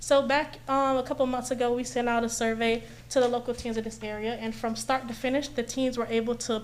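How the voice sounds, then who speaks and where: With audible room echo, a woman speaks fairly quickly in a fairly high voice with monotone, flat intonation. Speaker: community event organizer presenting to city commission. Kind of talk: public presentation at council meeting. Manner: fast.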